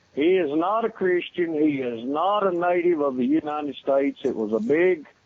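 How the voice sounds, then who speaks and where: This man speaks with a Southern accent. His pace is moderate. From Tennessee. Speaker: prank call target. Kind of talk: phone call. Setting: phone call.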